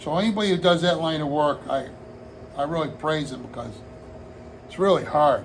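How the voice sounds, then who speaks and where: A man with an American accent at a fairly high pitch, ordinary pitch variation and a moderate pace, amid noticeable background noise and audible room echo. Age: 60s. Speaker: hobbyist vlogger, retired firefighter. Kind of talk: casual vlog monologue. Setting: home hobby room. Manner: rambling, relaxed.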